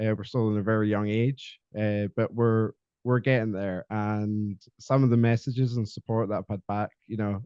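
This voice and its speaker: In a Scottish accent, the speaker delivers a dark, mellow tone at a moderate pace with monotone, flat intonation, in a dry, close recording with no echo. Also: man. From Scotland. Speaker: podcast guest, mental health advocate. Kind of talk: casual interview chat. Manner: halting, many fillers.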